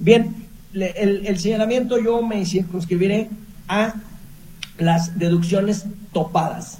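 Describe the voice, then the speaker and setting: A man's high-pitched voice with fairly even intonation, a very slow pace and long, frequent pauses, plus noticeable background noise and audible room echo. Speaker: accountant. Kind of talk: expert advice on radio.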